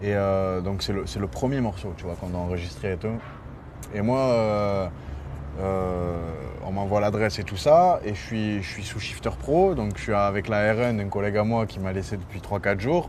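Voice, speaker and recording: A man's fairly low voice at a moderate pace, with ordinary pitch variation, audible room echo, and noticeable background noise. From Marseille, southern France. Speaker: rapper. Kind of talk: interview. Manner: hesitant, many fillers; animated storytelling.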